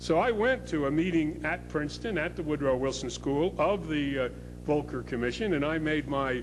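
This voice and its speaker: A man at a moderate pace, with music in the background and audible room echo. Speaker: public policy scholar. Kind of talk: conference speech. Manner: loud; hesitant, many filler words.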